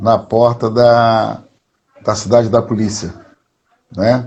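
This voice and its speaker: Here a man is speaking. His pitch is medium. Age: 60s. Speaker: history professor and activist. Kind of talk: interview. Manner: halting, with filler words.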